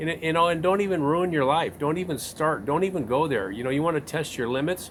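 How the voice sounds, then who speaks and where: Pitched fairly high with ordinary pitch variation, a man talks at a very fast pace. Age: 60s. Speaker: interviewer, channel owner. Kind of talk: interview.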